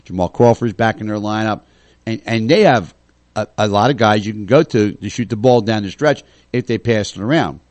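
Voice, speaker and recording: A man's ordinary speaking voice, medium in pitch, with fairly even intonation. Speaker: radio host. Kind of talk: casual chat.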